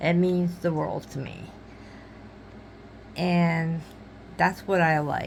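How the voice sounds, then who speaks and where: A woman speaks at a very slow pace in a fairly low, monotone, flat voice, leaving long, frequent pauses. Room echo is audible. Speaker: crafting YouTuber. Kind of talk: casual vlog chat. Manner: halting, searching for words.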